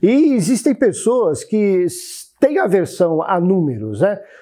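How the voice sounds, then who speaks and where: A man talks with very wide pitch swings. His tone is dark and mellow. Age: 70s. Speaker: retired accountant, seminary finance administrator. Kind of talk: interview. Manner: halting, with fillers and repetitions.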